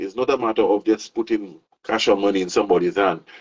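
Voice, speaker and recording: With a Saint Lucian accent, a man speaks at a moderate pace with lively intonation in a dry, close sound with no echo. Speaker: show host. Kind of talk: casual interview chat. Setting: outdoors by a pool.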